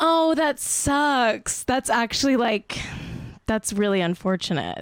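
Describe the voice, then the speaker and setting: A woman with a Southern California accent speaks very slowly at a fairly high pitch. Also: lively intonation, dry, close sound with no echo. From Pennsylvania, Scranton. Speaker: podcast host. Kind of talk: casual chat. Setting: video call from home. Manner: animated.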